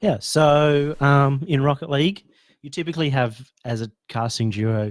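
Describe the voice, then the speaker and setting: Lively intonation marks a man speaking with an Australian accent. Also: very clean recording, silent background. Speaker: esports caster. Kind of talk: casual coaching chat.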